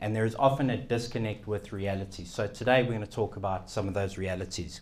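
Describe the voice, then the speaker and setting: This man talks at a very fast pace, his fairly low voice keeping a fairly even intonation. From South Africa. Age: young. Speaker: keynote speaker, financial radio and TV personality. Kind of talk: keynote talk. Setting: event room with live audience.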